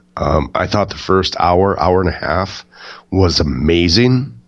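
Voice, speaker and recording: A man with a very deep, low pitch. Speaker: wrestling podcast co-host. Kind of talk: casual chat. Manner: quiet, can't project.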